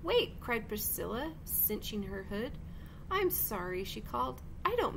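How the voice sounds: A natural reading voice is heard throughout.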